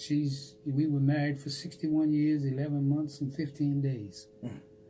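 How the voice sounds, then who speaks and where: A man with an American accent speaks at a fairly slow pace in a fairly high pitch with monotone, flat intonation. His tone is dark and mellow, and somewhat breathy. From Washington, D.C. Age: 90s. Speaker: World War II veteran, Tuskegee Airman. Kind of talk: interview answer.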